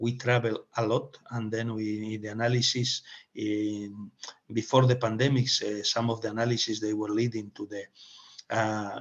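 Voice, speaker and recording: This man speaks with a Spanish accent in a monotone, flat intonation. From Spain. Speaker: webinar moderator and speaker. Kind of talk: webinar presentation. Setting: online webinar. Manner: halting, many fillers and restarts.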